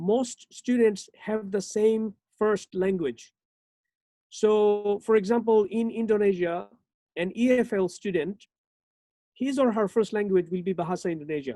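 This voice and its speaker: Her dark, mellow voice sits at a medium pitch for a woman, moving fairly slowly with ordinary pitch variation and long, frequent pauses. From Bangladesh. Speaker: university lecturer. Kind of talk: lecture. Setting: online webinar.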